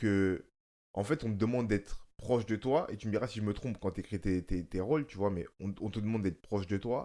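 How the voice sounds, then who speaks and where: On a very clean recording with a silent background, a man with a dark, mellow tone talks at a fairly quick pace, his fairly low pitch showing ordinary variation. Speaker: actor and podcast host. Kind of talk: casual chat.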